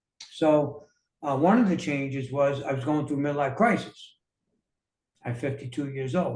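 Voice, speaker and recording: Somewhat breathy, a man with a New York accent speaks at a moderate pace in a fairly high pitch, with fairly even intonation. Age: 60s. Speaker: motivational speaker. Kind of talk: interview.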